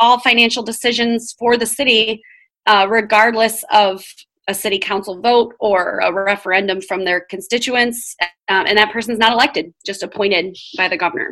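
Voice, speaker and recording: Speaking at a moderate pace with a Michigan accent, a woman has a bright, sharp tone and ordinary pitch variation. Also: fairly high pitch for a woman. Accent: Midwestern American (Michigan). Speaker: education professor. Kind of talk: podcast interview. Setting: at home, remote recording.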